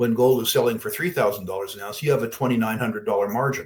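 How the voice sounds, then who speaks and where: A somewhat breathy man speaks at a medium pitch with lively intonation. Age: 70s. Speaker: investor answering audience questions. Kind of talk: Q&A on investing.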